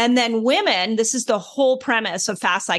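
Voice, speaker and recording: An ordinary speaking voice from a woman, fairly high in pitch, at a fairly slow pace. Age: 50s. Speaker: health author and fasting expert. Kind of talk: interview.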